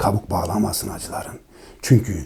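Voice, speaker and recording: A man speaks at a fairly slow pace with vocal fry. His tone is dark and mellow. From eastern Turkey, Dersim. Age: 40s. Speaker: poet and musician. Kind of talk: poetry reading.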